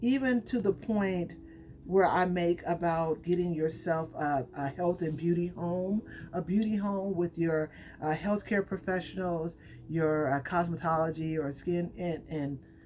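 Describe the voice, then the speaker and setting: Music plays in the background as a woman speaks. Her pitch is fairly low, with ordinary pitch variation. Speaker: hair care brand owner and YouTuber. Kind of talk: casual tutorial vlog. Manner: off the cuff, unscripted.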